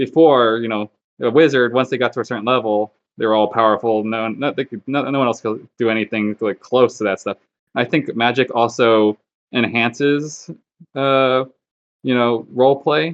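A man speaks at a medium pitch. His pace is moderate and his intonation fairly even. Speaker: tabletop player, paladin character. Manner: monotone.

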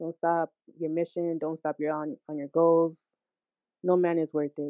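A woman's very deep, low voice with an American accent, monotone and flat, at a fairly slow pace. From Hackensack, New Jersey. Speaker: singer and musician. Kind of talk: interview. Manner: laid back.

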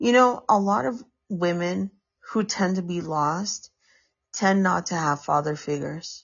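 A woman talks at a fairly low pitch and a fairly slow pace, sounding somewhat breathy. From US, San Francisco. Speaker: podcaster. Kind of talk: casual monologue. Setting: home, on a couch. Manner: halting, many fillers.

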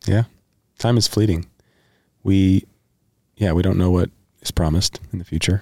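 With a very deep, low pitch and a dark, mellow tone, a man speaks in fairly even intonation with long, frequent pauses, the sound dry and close with no echo. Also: moderate pace. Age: 30s. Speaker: podcast host. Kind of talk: casual chat.

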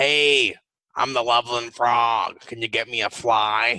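A man performs a put-on character voice, raspy and at a medium pitch. He delivers it at a fairly slow pace. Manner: flirty.

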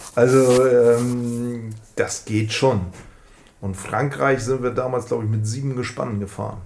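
In a room with audible echo, a man talks at a fairly slow pace with a medium pitch and fairly even intonation. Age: 40s. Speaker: scooter enthusiast. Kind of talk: casual interview. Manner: hesitant, many fillers.

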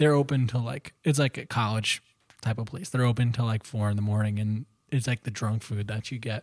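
Dry and close with no echo, this very clean recording with a silent background features a man with a plain, everyday voice, a medium pitch, ordinary pitch variation and a fairly quick pace. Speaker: guest, musician. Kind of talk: casual chat. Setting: studio.

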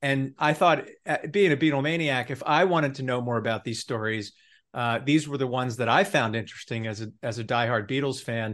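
A man's plain, everyday voice at medium pitch, fairly quick in pace, with ordinary pitch variation and a quiet background. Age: 50s. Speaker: author. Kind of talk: interview.

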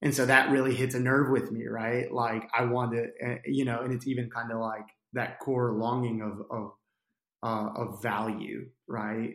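With an American accent and vocal fry, a man speaks at a moderate pace in a medium pitch, his intonation monotone and flat. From New Jersey. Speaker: podcast guest, church nonprofit worker. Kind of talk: casual interview, coaching session. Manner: halting, self-correcting.

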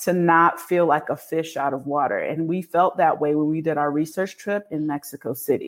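Very deep and low in pitch, a woman talks at a moderate pace with ordinary pitch variation on a very clean recording with a silent background. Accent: Northeastern US. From Connecticut, US, Canadian-born of Jamaican parents. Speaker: expat community founder. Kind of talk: interview.

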